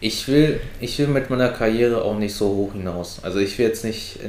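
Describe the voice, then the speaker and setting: A man speaks at a moderate pace. The room has an audible echo. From Brandenburg near Berlin, family from China. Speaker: friend of the host. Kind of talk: casual chat.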